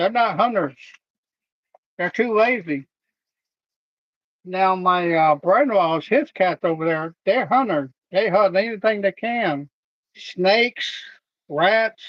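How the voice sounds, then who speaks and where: The speaker goes at a very slow pace with long, frequent pauses and a relaxed tone. Loudness stays very even, with ordinary pitch variation. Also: man, high pitch for a man. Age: 60s. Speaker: vlogger doing household chores. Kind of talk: casual monologue. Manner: relaxed, halting with fillers.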